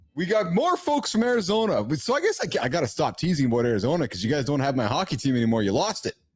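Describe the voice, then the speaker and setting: Speaking with a Canadian Prairies accent, a man talks at a very fast pace in an animated tone, with very wide pitch swings and hardly any pauses. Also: fairly high pitch for a man, very even loudness. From Manitoba, Canada (Winnipeg). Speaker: podcast host. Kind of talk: casual interview chat.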